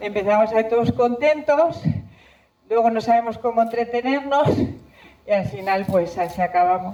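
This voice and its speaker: With lively intonation and very even loudness, a woman with a fairly high pitch talks at a moderate pace, leaving long, frequent pauses. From Spain, Zamora province. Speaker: environmental scientist giving a talk. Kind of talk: public talk. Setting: stage with audience. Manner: halting.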